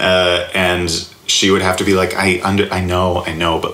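A man with an American accent and a very deep, low pitch, amid noticeable background noise and audible room echo. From US South, Alabama. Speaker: comedy writer and improviser. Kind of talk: casual interview. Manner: halting, many fillers.

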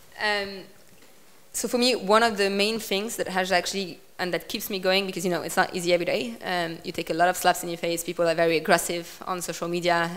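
A woman of medium pitch speaks very fast with fairly even intonation. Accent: French. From France. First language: French. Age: 20s. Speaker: politician; guest. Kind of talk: talk with audience Q&A. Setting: stage with audience. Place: hall. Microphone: handheld.

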